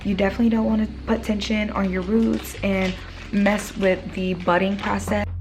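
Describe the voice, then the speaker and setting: With noticeable background noise and audible room echo, a woman speaks. Her pitch is medium and her pace is moderate. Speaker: hair care vlogger. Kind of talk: casual vlog talk.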